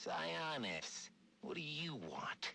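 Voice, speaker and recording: Raspy, put-on character voice from a man over clear background noise. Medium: video game.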